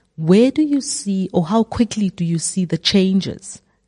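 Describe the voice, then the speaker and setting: Somewhat breathy and dark, mellow in tone, the voice moves at a moderate pace in a dry, close sound with no echo. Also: woman. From South Africa. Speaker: podcast interviewer. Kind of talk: interview.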